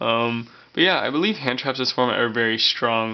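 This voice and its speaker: A man speaks at a very fast pace. His medium pitch keeps a fairly even intonation. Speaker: card game video creator. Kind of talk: casual tutorial commentary. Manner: hesitant, many fillers.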